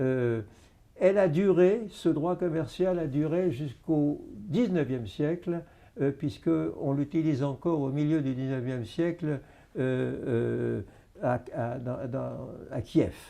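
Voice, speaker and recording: At a very slow pace, a man speaks with a dark, mellow tone, fairly high pitch and lively intonation. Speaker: historian and retired army officer. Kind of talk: interview. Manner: hesitant, many filler sounds.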